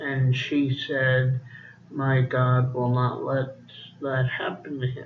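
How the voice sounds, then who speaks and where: Over noticeable background noise and audible room echo, a man speaks with monotone, flat intonation. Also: medium pitch for a man. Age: adult. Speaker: vlogger. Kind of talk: casual monologue. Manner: slow; halting.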